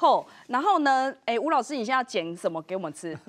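A woman speaks in a high pitch with very wide pitch swings. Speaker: TV show host. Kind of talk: TV cooking show hosting. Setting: studio. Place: studio. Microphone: lapel.

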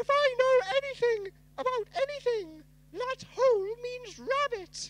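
This put-on character voice sits at an extremely high pitch. The pace is fairly slow. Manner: silly, playful.

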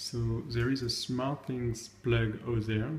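There is light background noise as a man speaks in a monotone, flat way. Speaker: tech video creator. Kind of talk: tutorial. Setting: at home. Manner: hesitant, many fillers. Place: home room. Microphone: phone near.

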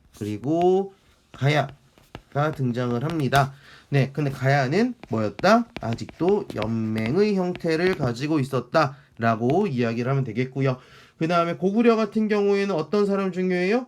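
In a very clean recording with a silent background, a man talks at a fairly slow pace. His pitch is fairly high and swings very widely. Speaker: history teacher. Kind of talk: lecture. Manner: conversational, rhetorical questions.

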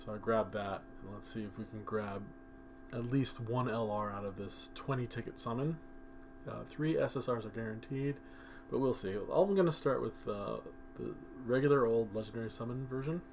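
A man talks at a moderate pace and medium pitch, his pitch swinging very widely. He leaves long, frequent pauses. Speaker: mobile game youtuber. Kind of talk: gaming commentary. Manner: kept quiet.

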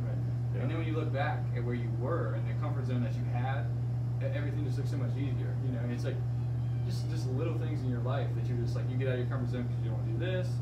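A man talks at a very fast clip. Loud noise fills the background. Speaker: fitness coach. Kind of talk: casual podcast-style discussion. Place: office. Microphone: camera far.

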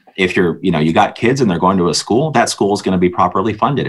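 A man with a Canadian accent, lively intonation and a fairly low pitch. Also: quiet background. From Ontario. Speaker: provincial party leader; guest. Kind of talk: interview. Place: home room. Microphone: video call.

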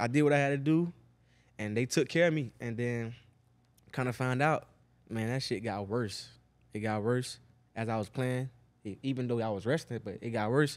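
At a moderate pace, a man speaks with ordinary pitch variation and long, frequent pauses. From Miami, Florida (Liberty City); Florida. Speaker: NFL wide receiver; podcast guest. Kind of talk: casual chat. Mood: relaxed, laid-back. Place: studio. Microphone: studio mic.

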